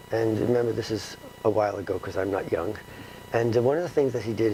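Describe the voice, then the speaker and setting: With a New York accent, a man talks at a medium pitch with ordinary pitch variation over noticeable background noise. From New York City, the Bronx. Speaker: retired philosophy professor and author. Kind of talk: interview. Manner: halting with many fillers.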